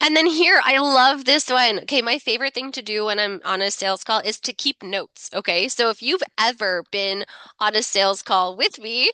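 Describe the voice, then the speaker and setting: In a Canadian accent, a woman with a fairly high, bright and sharp voice speaks at a moderate pace with lively intonation and hardly any pauses, the sound dry and close with no echo. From Ontario, Canada (Niagara). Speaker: marketing coach. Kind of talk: webinar presentation. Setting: live webinar. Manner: casual, chatty.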